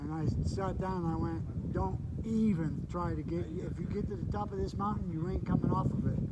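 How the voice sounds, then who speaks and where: Hardly pausing, a man with an American accent speaks amid audible room echo and noticeable background noise. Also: moderate pace. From Michigan. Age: 60s. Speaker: hiker and vlogger. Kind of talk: casual chat. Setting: outdoors. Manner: animated.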